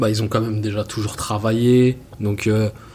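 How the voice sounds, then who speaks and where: A man talks at a very slow pace with a fairly low pitch. Noticeable background noise runs behind him. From France, Seine-Saint-Denis (Paris suburbs). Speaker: film and music video director. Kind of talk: interview. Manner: hesitant, many fillers.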